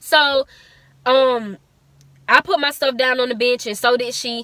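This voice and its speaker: The sound is dry and close, without echo. A woman is speaking, with ordinary pitch variation. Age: young. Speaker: vlogger. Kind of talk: casual storytelling. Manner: fast.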